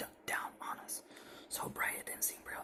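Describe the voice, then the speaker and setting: Whispering over noticeable background noise. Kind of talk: ASMR horror story narration; first-person story reading.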